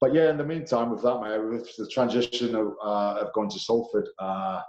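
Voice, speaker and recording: Here a man speaks with a strong English accent at a medium pitch. His pace is moderate and his pitch variation ordinary. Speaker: professional rugby league player. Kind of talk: casual interview chat. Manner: halting, many fillers.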